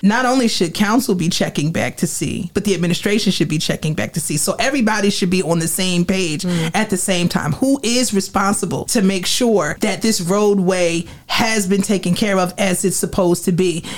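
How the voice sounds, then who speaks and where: With an American accent, a woman of medium pitch speaks at a moderate pace, somewhat breathy, hardly pausing, with very even loudness and ordinary pitch variation. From Trenton, New Jersey. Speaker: city council candidate. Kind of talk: campaign speech.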